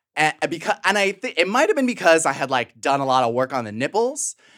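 In a very clean recording with a silent background, a man with an American accent speaks with very wide pitch swings. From Chicago suburbs. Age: 30s. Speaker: writer and podcaster. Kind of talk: casual chat.

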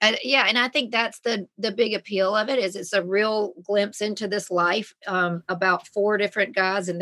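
Speaking with a Southern US accent, a woman uses a medium pitch and a bright, sharp tone. Her pace is moderate, and the recording is very clean with a silent background. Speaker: mother and reality TV star. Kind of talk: casual chat.

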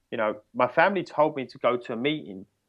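This man has an English accent and ordinary pitch variation. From England, near London. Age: 30s. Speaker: recovery coach. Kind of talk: interview.

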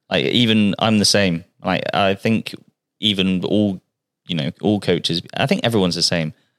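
With a West Country accent, a man speaks at a moderate pace and a fairly low pitch with ordinary pitch variation, recorded dry and close with no echo. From Bristol, England. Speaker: personal trainer. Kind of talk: casual chat.

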